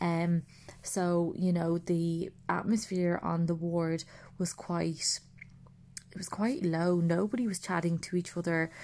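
With an Irish accent, a woman talks at a fairly slow pace and a fairly low pitch. Her intonation is fairly even. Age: 30s. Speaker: podcast host. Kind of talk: personal monologue.

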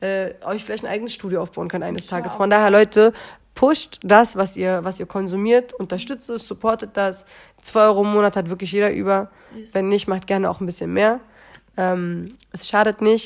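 An animated woman's voice at medium pitch, fairly quick, with big swings in loudness, in a very clean recording with a silent background. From Berlin, Wedding. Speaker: poetry slammer and rapper. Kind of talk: casual chat.

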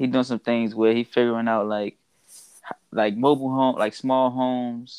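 The man speaks with an American accent at a moderate pace and medium pitch. His intonation is monotone and flat, and the sound is dry and close with no echo. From Washington DC. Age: 20s. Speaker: guest. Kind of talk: casual chat.

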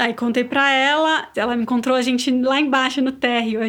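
Her pitch is high for a woman. She talks fairly quickly. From Brazil, São Paulo. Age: 30s. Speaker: business owner and mother. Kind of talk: casual interview.

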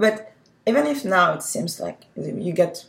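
A woman with a French accent. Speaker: podcast host. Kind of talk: interview.

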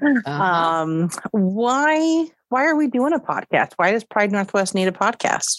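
The pace is fairly slow, in a West Coast accent. Pitch swings very widely throughout. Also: woman. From Oregon (Hillsboro). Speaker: nonprofit program assistant. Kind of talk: casual interview chat. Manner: hesitant, with filler words.

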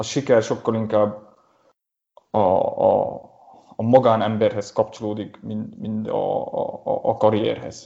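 Very slow speech from a man, with long, frequent pauses. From Transylvania, Romania (Gyergyó region, Székely). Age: 20s. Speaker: designer. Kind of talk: interview conversation. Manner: halting, many repetitions.

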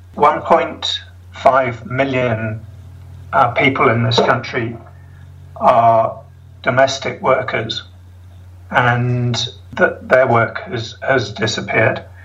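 A man's medium-pitched voice at a very slow pace, with long, frequent pauses, fairly even intonation and noticeable background noise. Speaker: South African resident. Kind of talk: interview.

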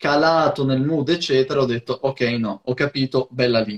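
This man has an unremarkable speaking voice at a fairly high pitch. His pitch varies in an ordinary way. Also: dry, close sound with no echo. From Friuli-Venezia Giulia, near Trieste. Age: 20s. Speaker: hip hop DJ. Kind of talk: casual chat.

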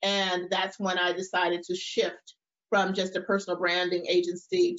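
The speaker is a woman with a medium pitch. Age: 50s. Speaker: personal branding entrepreneur. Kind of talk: interview. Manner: animated.

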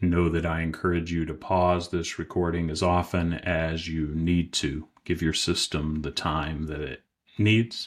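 This man's voice is very deep and low, with a gentle tone and monotone, flat intonation. He talks at a fairly slow pace on a very clean recording with a silent background. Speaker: IFS practitioner and meditation guide. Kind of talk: guided meditation, calm soothing visualization with long pauses. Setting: podcast recording, solo studio. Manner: slow, gentle, soft-spoken, unhurried with long silences; warm, compassionate, inviting.

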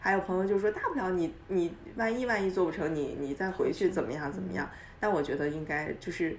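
A woman at medium pitch with lively intonation and a fairly quick pace, over noticeable background noise. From China, Dalian. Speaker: entrepreneur. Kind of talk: interview. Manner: halting.

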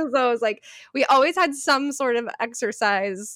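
Speaking at a fairly slow pace, a woman has a fairly bright tone.

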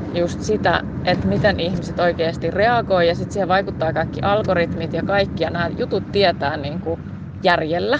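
Fairly low woman's voice at a moderate pace, with noticeable background noise. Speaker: podcast host and Human Design coach. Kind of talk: casual solo monologue. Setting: outdoors, walking. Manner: halting, with fillers and self-corrections.

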